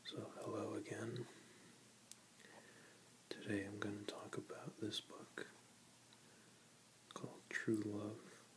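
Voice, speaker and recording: Someone whispers very slowly, with long, frequent pauses, over noticeable background noise. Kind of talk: casual talk to camera. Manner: whispered, soft-spoken.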